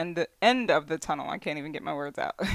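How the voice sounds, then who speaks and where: A woman talks at a very fast pace with a dry, close sound and no echo. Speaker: tarot card reader. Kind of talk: tarot reading. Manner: halting; casual, filler-heavy.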